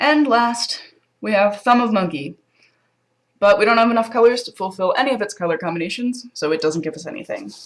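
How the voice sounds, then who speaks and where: With an ordinary speaking voice, a woman talks at a fairly quick pace and fairly high pitch, her intonation lively and her loudness swinging widely. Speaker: board game presenter. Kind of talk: game tutorial walkthrough.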